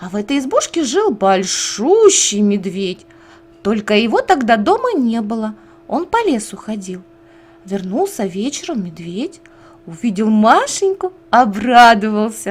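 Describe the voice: Speaking at a fairly slow pace, a woman with a fairly high pitch and a slightly husky edge makes big pitch swings.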